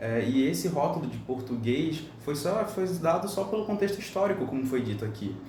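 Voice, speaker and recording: A fairly high-pitched man talks at a moderate pace with very wide pitch swings and hardly any pauses. Audible room echo and noticeable background noise fill the recording. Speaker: podcast panelist. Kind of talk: panel discussion.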